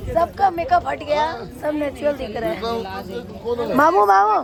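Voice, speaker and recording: A woman is speaking. Crowd noise carries in the background. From Guwahati, Assam, India. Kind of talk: casual vlog chat.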